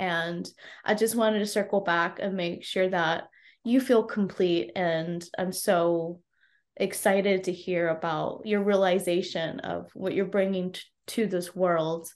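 Using a plain, everyday voice, a woman with an American accent talks at a medium pitch and a fairly slow pace with fairly even intonation. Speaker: podcast host and life coach. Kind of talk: interview, casual chat.

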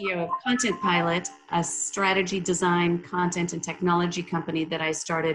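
With an American accent, a normal speaking voice moves at a moderate pace. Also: woman. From Minnesota. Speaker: company CEO. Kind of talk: casual interview.

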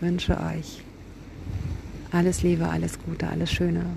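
There is noticeable background noise. Audible room echo is present as well. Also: woman. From Kiel, northern Germany. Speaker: poet and podcast host. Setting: outdoors on a beach by the sea.

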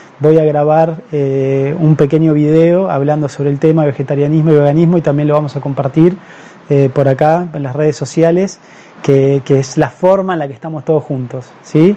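Fairly even intonation from a man with a fairly high pitch, against noticeable background noise. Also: moderate pace. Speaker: doctor. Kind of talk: live-streamed health talk. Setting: Facebook live stream.

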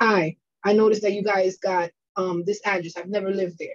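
Talking at a fairly quick pace, a woman speaks with a New York accent. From New York, Bronx. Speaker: credit repair consultant. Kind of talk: interview.

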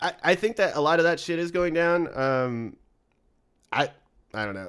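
An ordinary speaking voice at a moderate pace with lively intonation, in a very clean recording with a silent background. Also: man. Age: 30s. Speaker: podcast host. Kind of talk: casual chat. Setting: studio.

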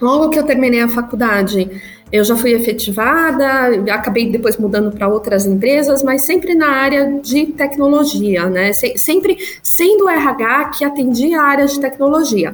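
A woman with a high pitch speaks at a moderate pace with lively intonation and very even loudness, over noticeable background noise. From São Paulo, Brazil. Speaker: agile coach. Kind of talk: interview conversation.

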